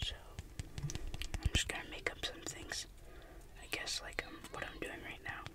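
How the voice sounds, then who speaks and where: With long, frequent pauses, a man talks at a moderate pace against loud background noise. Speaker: ASMR creator. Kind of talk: ASMR whispering. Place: car. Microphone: phone near.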